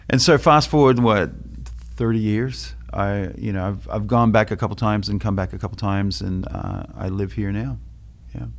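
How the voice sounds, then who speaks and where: Speaking with an Australian accent, a man uses a fairly low pitch. His pitch swings very widely. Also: moderate pace. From Australia, Melbourne. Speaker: photographer and former DJ. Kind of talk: casual podcast chat.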